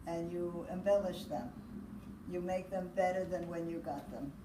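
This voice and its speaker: Amid noticeable background noise and audible room echo, a woman speaks in a fairly low pitch. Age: 80s+. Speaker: grandmother. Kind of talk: interview; casual chat. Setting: video call.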